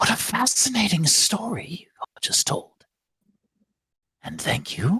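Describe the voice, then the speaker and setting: Whispering in a put-on character voice, a man goes at a fairly slow pace with long, frequent pauses. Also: dry, close sound with no echo. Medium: actual play. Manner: smug, teasing.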